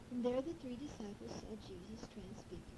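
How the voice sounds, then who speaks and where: Intonation is lively in this female voice. Background noise is noticeable throughout. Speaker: grandmother reading a children's Bible story on tape. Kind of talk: children's bible story reading.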